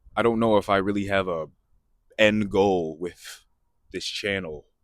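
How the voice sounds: This man talks at a fairly slow pace in a low voice, with ordinary pitch variation.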